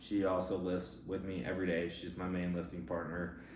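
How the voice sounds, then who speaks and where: A man's voice with audible room echo. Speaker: competitive bodybuilder and fitness coach. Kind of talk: casual vlog and Q&A. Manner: monotone.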